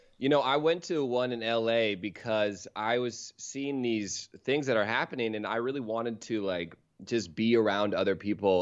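In an ordinary speaking voice, a man talks at a fairly quick pace, medium in pitch with ordinary variation, against a quiet background. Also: hardly any pauses. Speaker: comedian. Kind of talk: casual chat.

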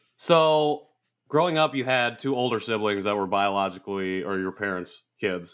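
Speaking at a moderate pace with an American accent, a man uses an ordinary speaking voice at a fairly low pitch. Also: very clean recording, silent background. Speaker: podcast co-host. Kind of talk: casual interview conversation.

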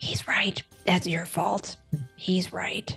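A female-sounding, raspy put-on character voice whispers over faint music in the background. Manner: reproachful, accusing.

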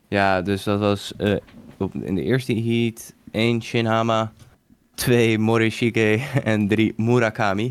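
Very slowly and with fairly even intonation, a man speaks at a medium pitch. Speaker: podcast co-host. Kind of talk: casual chat.

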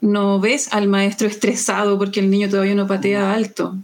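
A woman talks at a moderate pace. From Chile. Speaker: taekwondo coach and physical education teacher. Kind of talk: interview.

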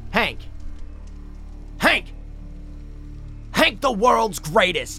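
Over clear background music, a man puts on a character voice at a high pitch and very slow pace, with big pitch swings and vocal fry.

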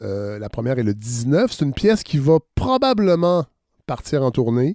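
A man with a Quebec accent at a moderate pace, his tone dark and mellow, in a very clean recording with a silent background and a dry, close sound free of echo. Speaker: podcast host. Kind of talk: interview.

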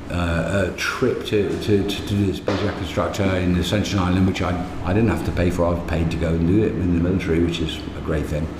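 A man with a very deep, low voice speaks at a very fast pace with fairly even intonation. Audible room echo and noticeable background noise accompany him. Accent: English. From England, Midlands. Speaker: technical diving instructor. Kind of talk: casual chat. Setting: bar. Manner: halting.

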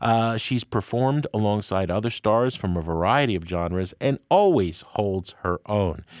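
In a very clean recording with a silent background, a man with an unremarkable speaking voice talks at a moderate pace, with fairly low pitch and ordinary pitch variation. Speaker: radio host and music critic. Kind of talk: interview. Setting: studio.

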